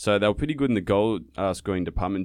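With an Australian accent, a man is speaking. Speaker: podcast host. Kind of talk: casual chat.

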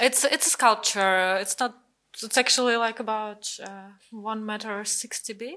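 A woman's bright, sharp tone in a Russian accent, with big swings in loudness. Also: fairly high pitch for a woman, fairly slow pace. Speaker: artist. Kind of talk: interview. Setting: video call.

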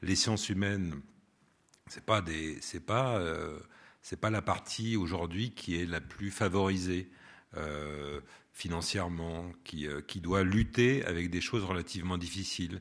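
Against a quiet background, a man with a very deep, low pitch speaks at a very slow pace, leaving long, frequent pauses, his pitch varying in an ordinary way. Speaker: radio producer and host, former theatre actor. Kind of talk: public talk with audience Q&A. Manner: expressive, plays with intonation.

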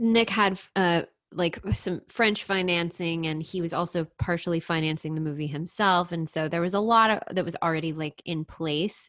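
With an American accent, a woman with an ordinary speaking voice and a fairly low pitch talks at a moderate pace with fairly even intonation. She leaves hardly any pauses, and the background is quiet. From Texas, The Woodlands. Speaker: screenwriter and playwright. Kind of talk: casual interview chat.

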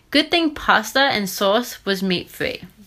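Speaking at a fairly slow pace, a woman's voice swings very widely in pitch on a very clean recording with a silent background. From Australia. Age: 20s. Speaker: strength and conditioning coach, podcaster. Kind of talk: scripted-style solo podcast introduction. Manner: upbeat, enthusiastic.

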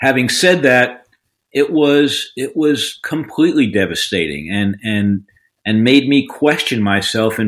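The speaker has a New York accent. The pace is fairly slow. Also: man. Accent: New York American. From New York, Long Island. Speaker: defense lawyer. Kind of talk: interview. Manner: halting, many fillers.

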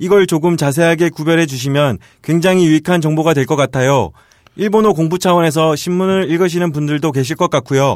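Fairly high for a man, this voice is an unremarkable speaking voice, with ordinary pitch variation and very even loudness. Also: fairly quick pace. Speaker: podcast co-host. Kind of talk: casual chat.

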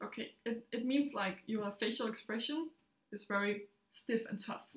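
A woman's somewhat breathy voice with ordinary pitch variation. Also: fairly high pitch for a woman, moderate pace. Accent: Danish. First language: Danish. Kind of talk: casual chat.

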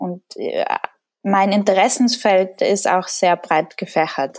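A woman with a Tyrolean accent, medium-pitched, fairly slow, with ordinary pitch variation. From Austria, Tyrol. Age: 20s. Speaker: painter, artist. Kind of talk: interview.

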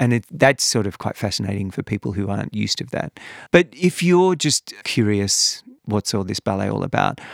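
A man with an Australian accent talks at a moderate pace, his pitch swinging very widely, with vocal fry. The recording is very clean, dry and close, with a silent background and no echo. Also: fairly low pitch for a man. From Western Australia, Perth. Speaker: former ballet dancer and artistic director, author. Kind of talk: interview.

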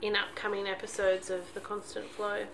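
A woman at a medium pitch and moderate pace, over noticeable background noise. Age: 40s. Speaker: podcast co-host, mother and teacher. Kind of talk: casual chat. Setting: at home in son's bedroom.

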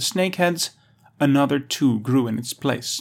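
A man speaks at a moderate pace in a plain, everyday voice, with ordinary pitch variation, on a very clean recording with a silent background. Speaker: audio article narrator. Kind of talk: documentary narration, scripted reading of an encyclopedia article. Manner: measured, even, formal; steady authoritative pace, clear diction.

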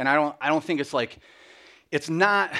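In a very clean recording with a silent background, an unremarkable speaking voice moves along at a moderate pace. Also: man. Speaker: guest speaker. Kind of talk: sermon. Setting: church.

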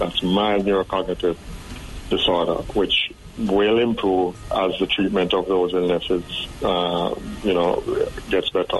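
Over noticeable background noise, the speaker goes at a fairly slow pace with very even loudness and monotone, flat intonation. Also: man, very deep, low pitch for a man. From Jamaica. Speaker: psychiatrist. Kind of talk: interview.

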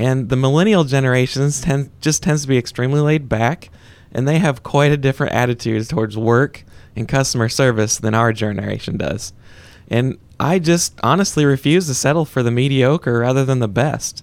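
Spoken at a fairly quick pace with ordinary pitch variation, this is a plain, everyday voice. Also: man, medium pitch for a man. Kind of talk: conversational interview answers, plain-spoken business talk. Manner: relaxed, folksy and earnest, with frequent 'uh' and 'you know' fillers.

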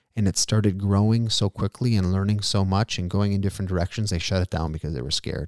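Fairly low in pitch with a dark, mellow tone, a man speaks at a fairly quick pace with fairly even intonation, recorded dry and close with no echo on a very clean track with a silent background. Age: 30s. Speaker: podcast host. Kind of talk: solo podcast monologue. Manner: casual, conversational.

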